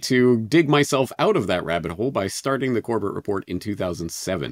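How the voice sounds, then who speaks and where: Someone with an ordinary speaking voice and a Canadian accent talks at a moderate pace with lively intonation. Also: man. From western Canada, Calgary. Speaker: podcaster and independent journalist. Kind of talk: interview.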